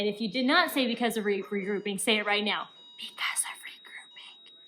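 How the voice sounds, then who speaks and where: Here a woman talks at a moderate pace. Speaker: elementary school teacher. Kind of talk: recorded lesson instructions for pupils. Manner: animated.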